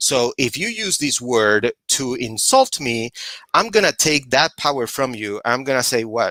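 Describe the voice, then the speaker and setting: In a dry, close recording with no echo, a man with a Puerto Rican accent speaks at a fairly slow pace in a medium pitch, his tone bright and sharp and his intonation lively. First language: Spanish. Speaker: social justice activist. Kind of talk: panel discussion.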